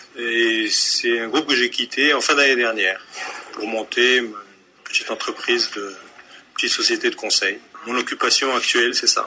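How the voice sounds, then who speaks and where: A man at a moderate pace with long, frequent pauses and noticeable background noise. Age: 30s. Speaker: consultant and political activist. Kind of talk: interview.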